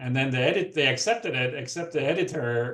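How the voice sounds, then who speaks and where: This man has a non-native accent and a fairly high pitch, and he talks at a moderate pace. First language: not English. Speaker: physician researcher, lecture speaker. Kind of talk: Q&A discussion after lecture.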